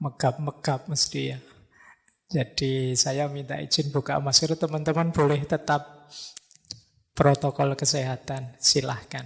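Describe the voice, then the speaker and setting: Somewhat breathy, a man speaks at a fairly slow pace in a fairly high pitch with monotone, flat intonation. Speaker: philosophy lecturer. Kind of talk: religious lecture. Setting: mosque with live audience. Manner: casual, conversational.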